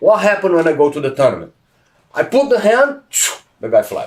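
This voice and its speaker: With a Brazilian accent, a man speaks in very wide pitch swings. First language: Portuguese. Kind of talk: podcast interview.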